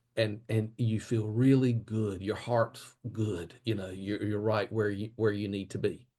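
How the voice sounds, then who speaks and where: With a Southern US accent, a dark, mellow tone and monotone, flat intonation, the speaker talks at a fairly slow pace with hardly any pauses over a quiet background. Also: man, fairly low pitch for a man. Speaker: childcare expert and keynote speaker. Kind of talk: podcast interview.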